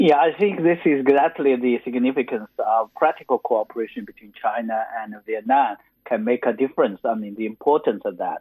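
A man at medium pitch speaks with lively intonation, big swings in loudness and hardly any pauses. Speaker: foreign policy think tank scholar. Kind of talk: interview answers. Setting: phone call. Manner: hesitant, with many fillers.

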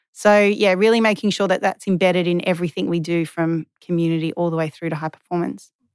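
With an Australian accent and a fairly low pitch, a woman speaks at a very fast pace with hardly any pauses and fairly even intonation, on a very clean recording with a silent background. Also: dry, close sound with no echo. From Western Australia, Perth. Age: 30s. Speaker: former professional tennis player. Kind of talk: interview.

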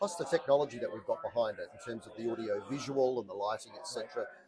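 A man speaks with an Australian accent. Noticeable background noise runs under his voice. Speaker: conference MC. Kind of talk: casual interview. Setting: conference venue.

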